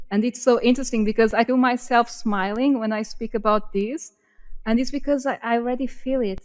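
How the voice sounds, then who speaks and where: With a Portuguese accent, a woman speaks at a moderate pace and fairly high pitch, her intonation fairly even. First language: not English. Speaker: podcast co-host. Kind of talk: casual chat.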